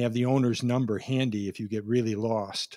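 A man with an American accent in a plain, everyday voice, medium pitch, fairly even intonation and a moderate pace, on a very clean recording with a silent background. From Minnesota. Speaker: pastor. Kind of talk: sermon.

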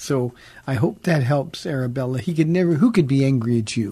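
This man talks at a moderate pace with ordinary pitch variation. His soft-spoken voice is somewhat breathy, with a dark, mellow tone. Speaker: pastor and radio call-in host. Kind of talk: radio call-in Bible Q&A. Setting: radio studio. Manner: soft-spoken, never raises voice; hesitant, many fillers.

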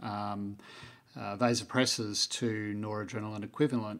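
Here a man speaks with an Australian accent at a medium pitch and a moderate pace. The recording is very clean, with a silent background. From Melbourne, Australia. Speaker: podcast host. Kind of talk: interview.

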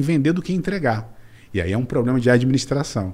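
A man talks in a dark, mellow tone that is somewhat breathy. His intonation is lively. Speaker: business mentor and angel investor. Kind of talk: interview. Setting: studio, in person.

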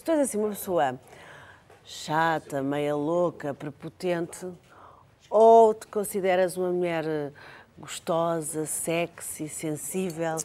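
A woman's fairly low, dark and mellow voice, very slow with long, frequent pauses, ordinary pitch variation and big swings in loudness. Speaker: talk show host. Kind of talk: casual chat.

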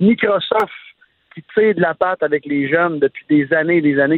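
This man has an unremarkable speaking voice with a fairly high pitch. His pitch variation is ordinary. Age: 30s. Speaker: entrepreneur and sports/tech commentator. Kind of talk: casual chat.

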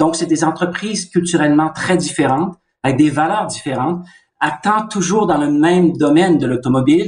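In a plain, everyday voice, a man with a fairly high pitch talks at a moderate pace with ordinary pitch variation. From Canada. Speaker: car company executive. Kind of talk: interview.

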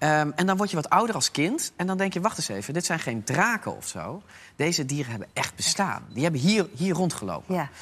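With lively intonation and a high pitch, a man speaks at a fairly quick pace on a very clean recording with a silent background. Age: 40s. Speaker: opinion pollster. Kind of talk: casual chat. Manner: halting.

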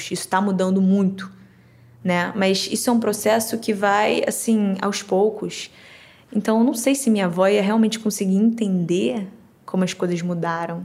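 A somewhat breathy woman's voice at medium pitch, with fairly even intonation and a moderate pace. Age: young. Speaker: interviewee, granddaughter. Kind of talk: interview.

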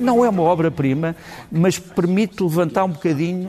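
A man with a European Portuguese accent speaks over noticeable background noise. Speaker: political commentator. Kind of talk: TV commentary segment. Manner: hesitant, with fillers.

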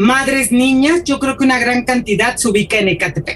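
A woman speaks at a high pitch over noticeable background noise. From Mexico City. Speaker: school supervisor and teacher. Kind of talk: interview.

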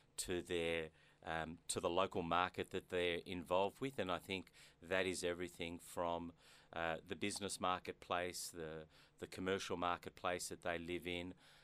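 A man with an Australian accent speaks at a moderate pace in a very deep, low voice with a bright, sharp tone and monotone, flat intonation, in a very clean recording with a silent background. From Australia, Melbourne. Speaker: business executive. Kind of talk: interview. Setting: studio. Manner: halting, many fillers.

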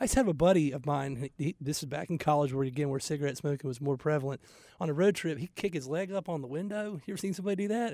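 A man talking at a very fast pace, fairly high pitch and dark, mellow tone, with ordinary pitch variation, on a very clean recording with a silent background. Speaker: radio show co-host, commercial real estate. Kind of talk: casual chat. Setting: studio.

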